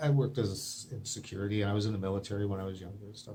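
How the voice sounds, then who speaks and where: Here a man talks at a very fast pace. His voice is somewhat breathy. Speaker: video blogger with a medical theory. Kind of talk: monologue to camera. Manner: halting.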